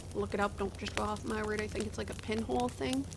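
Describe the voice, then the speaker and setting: This is a woman speaking. She has a slight rural Canadian accent. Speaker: gaming video creator. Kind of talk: casual gameplay commentary. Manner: halting, many fillers.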